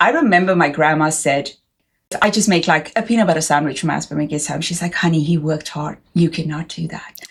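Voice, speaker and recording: Somewhat breathy and very fast, a woman talks in a very deep, low voice. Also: ordinary pitch variation. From South Africa. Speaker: podcast host. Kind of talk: casual interview chat.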